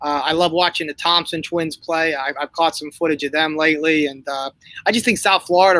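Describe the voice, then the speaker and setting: A man speaks at a moderate pace in a fairly high voice with a bright, sharp tone. His intonation is monotone and flat, and the sound is dry and close with no echo. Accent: Northeastern US. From Northeast Pennsylvania. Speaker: basketball coach. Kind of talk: interview. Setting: livestream. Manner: halting, many fillers and repeats.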